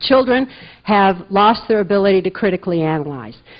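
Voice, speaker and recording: This woman has a Midwestern American accent and a medium pitch. She speaks at a fairly quick pace with lively intonation. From US Midwest, Muskegon, Michigan. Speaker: conference speaker. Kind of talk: lecture.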